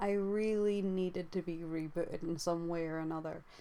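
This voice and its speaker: A woman mumbles at a fairly low pitch with fairly even intonation. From UK. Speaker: YouTuber and artist. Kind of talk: casual vlog monologue. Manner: mumbling; halting.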